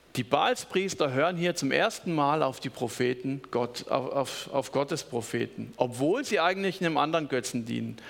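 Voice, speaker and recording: A man talks in a fairly high voice with vocal fry and an animated, warm tone. His pace is moderate and his pitch variation ordinary. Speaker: preacher. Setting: church.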